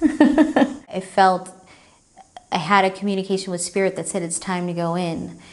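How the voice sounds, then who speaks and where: The voice belongs to a woman with a fairly low pitch. She has an ordinary speaking voice and a moderate pace. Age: 30s. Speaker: retreat participant. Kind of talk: testimony.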